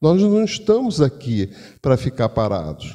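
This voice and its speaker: A man with a fairly high voice and a dark, mellow tone talks at a fairly slow pace. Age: 70s. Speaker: spiritist lecturer. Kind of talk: religious lecture. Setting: spiritist center with audience. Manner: conversational.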